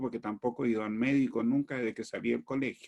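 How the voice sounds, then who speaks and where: Speaking at a fairly quick pace, a man has a dark, mellow tone and a medium pitch. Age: 70s. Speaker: astrologer and spiritual teacher. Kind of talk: talk to an online audience. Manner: animated, conversational.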